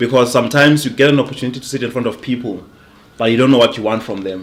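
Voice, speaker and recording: A man speaks with ordinary pitch variation. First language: not English. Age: young. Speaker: sales coach. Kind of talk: casual interview chat. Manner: repeats words, halting.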